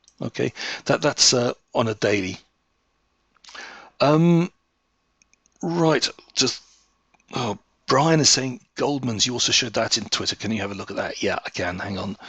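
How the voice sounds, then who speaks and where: A man speaks with a British accent at a moderate pace. He leaves long, frequent pauses. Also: medium pitch for a man, lively intonation. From England. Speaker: market analyst. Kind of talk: webinar presentation. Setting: webinar. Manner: halting.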